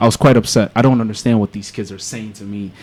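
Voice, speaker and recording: Here is a man with an American accent and a medium pitch. He talks at a fairly quick pace. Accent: sounds American. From Angola, then United States from age seven. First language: Portuguese. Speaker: rapper and visual content creator. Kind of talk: casual interview chat. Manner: animated storytelling.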